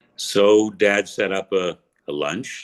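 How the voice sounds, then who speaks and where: A man's voice with vocal fry. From Toronto, Canada. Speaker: radio voiceover artist. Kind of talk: interview answer. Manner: conversational, humorous.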